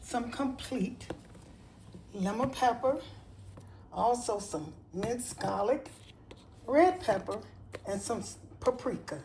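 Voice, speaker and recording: A woman speaks at a very slow pace with long, frequent pauses and a fairly high pitch. Her intonation is lively, and audible room echo surrounds her voice. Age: 70s. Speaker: home cooking video host. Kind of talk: cooking tutorial. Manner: casual, with hesitations.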